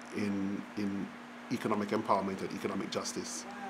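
Noticeable background noise is present. A man speaks at a moderate pace over it. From rural Jamaica. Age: 60s. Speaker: economics professor. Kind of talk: oral history interview. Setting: public event venue.

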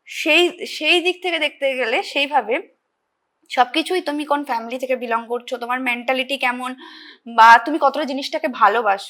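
A woman speaks in a raised, projected voice with a high pitch and a bright, sharp tone. Her pitch varies an ordinary amount, and the recording is very clean with a silent background. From Hooghly district, West Bengal, India. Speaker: nursing student and dancer. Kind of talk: interview. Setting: studio.

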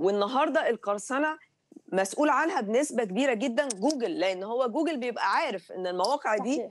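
A woman talks in an Egyptian accent at a high pitch. There is light background noise. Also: lively intonation, fairly quick pace. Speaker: writer. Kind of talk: TV interview. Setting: video call. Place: home room. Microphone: video call.

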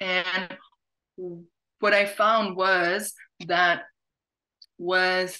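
At a very slow pace, a woman with a fairly low pitch speaks with little pitch movement and a clear, smooth yet bright, sharp tone.

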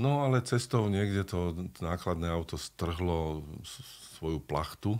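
A man talks fairly slowly at a very deep, low pitch. His intonation is lively. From Slovakia. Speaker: actor and dubbing voice actor. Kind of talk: interview answer. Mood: animated storytelling anecdote. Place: studio. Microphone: studio mic.

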